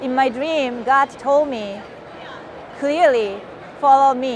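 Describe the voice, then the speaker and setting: A woman's high voice in a Japanese accent, very slow, with audible room echo and noticeable background noise. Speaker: missionary. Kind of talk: testimony.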